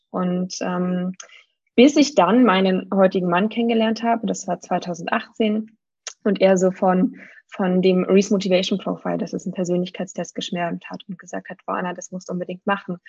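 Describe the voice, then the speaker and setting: A somewhat breathy woman speaks at a moderate pace and medium pitch with fairly even intonation and big swings in loudness, in a dry, close sound with no echo. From Germany. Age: 30s. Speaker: needs coach. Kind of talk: interview.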